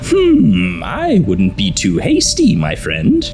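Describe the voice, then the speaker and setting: A put-on character voice at a very slow pace with clear background noise. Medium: fan dub. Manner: smooth, flattering.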